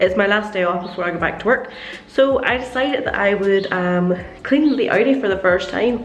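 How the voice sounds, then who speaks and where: Noticeable background noise sits behind a woman's fairly quick speech. Her pitch varies in an ordinary way. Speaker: car detailing vlogger. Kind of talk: casual talk to camera.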